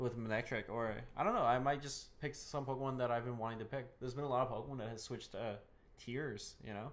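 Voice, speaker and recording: A man speaks at a very fast pace in a medium pitch, his intonation fairly even, with audible room echo around him. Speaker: podcast co-host and gaming YouTuber. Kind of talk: casual podcast chat. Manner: halting, many repeated words.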